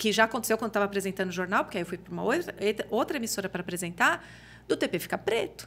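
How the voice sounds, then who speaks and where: A woman talks very fast at a medium pitch. Her pitch variation is ordinary. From Brazil, interior of São Paulo state. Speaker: TV journalist and reporter. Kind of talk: casual chat.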